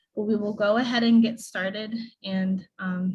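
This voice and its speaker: A woman with a somewhat breathy, fairly high-pitched voice talks at a moderate pace and with fairly even intonation. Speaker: event emcee. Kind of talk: awards ceremony hosting. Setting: video call.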